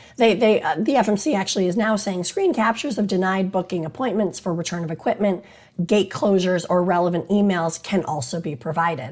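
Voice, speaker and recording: With lively intonation, a woman talks at a medium pitch in a somewhat breathy voice. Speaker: attorney. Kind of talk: casual talk to camera about maritime law. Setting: on location in Washington DC.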